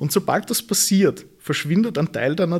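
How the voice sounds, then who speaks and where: A man with a plain, everyday voice, lively intonation and a fairly slow pace. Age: 20s. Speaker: e-commerce consultant. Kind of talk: interview.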